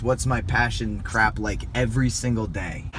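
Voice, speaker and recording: At a moderate pace, a man speaks in an animated tone at a medium pitch, with audible room echo and noticeable background noise. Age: 30s. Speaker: motivational vlogger. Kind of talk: motivational talk.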